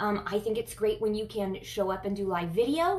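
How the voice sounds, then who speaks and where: This is a woman speaking with an American accent. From USA. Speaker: chiropractor and online coach. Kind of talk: live video talk. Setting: live stream. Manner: hesitant, many filler ums.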